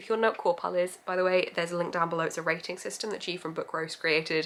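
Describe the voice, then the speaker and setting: In an English accent, a woman speaks at a very fast pace. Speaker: book vlogger. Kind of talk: casual vlog.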